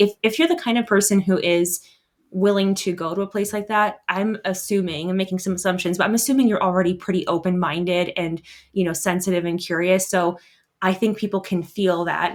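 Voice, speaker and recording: In a very clean recording with a silent background, a woman speaks at a fairly quick pace with an American accent. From US Southwest. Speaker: travel blogger and teacher. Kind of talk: interview. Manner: fast talker.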